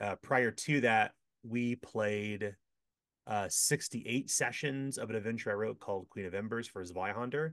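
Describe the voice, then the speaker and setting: Medium pitch for a man, moderate pace and ordinary pitch variation against a quiet background. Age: 40s. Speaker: game designer and publisher. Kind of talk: casual interview.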